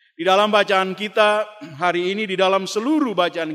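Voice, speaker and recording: A man's high-pitched voice with a bright, sharp tone, in an Ambonese accent. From Ambon, eastern Indonesia. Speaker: pastor and theology lecturer. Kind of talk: sermon.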